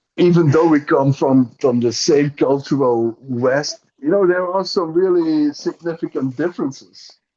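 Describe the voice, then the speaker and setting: This man speaks at a fairly slow pace with a Dutch accent. His tone is dark and mellow, his pitch fairly high with ordinary variation. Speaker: Lenormand author and teacher. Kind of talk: casual interview chat. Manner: halting, with self-repeats.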